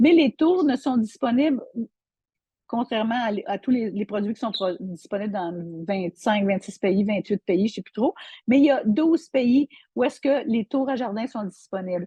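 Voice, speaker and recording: At a moderate pace, a woman with a fairly high, somewhat breathy voice uses lively intonation and big swings in loudness. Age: 60s. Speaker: online seller. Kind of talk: product tutorial. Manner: halting, many repetitions and fillers.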